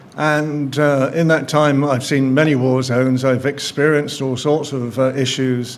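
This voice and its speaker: Noticeable background noise and audible room echo surround the speaker. He is a man talking in a flat monotone. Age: 70s. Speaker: journalist. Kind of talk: speech at an event.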